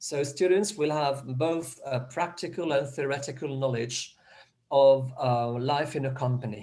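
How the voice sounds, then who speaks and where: Somewhat breathy and dark, mellow in tone, a man talks in a fairly high pitch. He keeps a fairly slow pace with ordinary pitch variation. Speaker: educator presenting a programme. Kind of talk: presentation in an online meeting. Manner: halting, many false starts.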